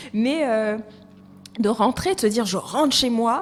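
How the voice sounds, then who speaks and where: Amid noticeable background noise, a woman with a fairly high pitch talks at a moderate pace with lively intonation. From Côte d'Ivoire. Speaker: HR and recruitment professional. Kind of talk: podcast interview.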